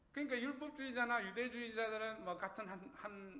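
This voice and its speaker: A man's high, bright and sharp voice, raised and projected, at a fairly quick pace with a Gyeongsang accent and audible room echo. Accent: Gyeongsang dialect, trouble pronouncing 의. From Gyeongsang region, Korea. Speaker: pastor. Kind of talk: sermon. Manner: conversational, asks the congregation questions.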